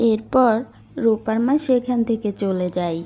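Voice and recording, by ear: The voice moves at a slow pace with a dark, mellow tone and ordinary pitch variation. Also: woman, fairly high pitch for a woman.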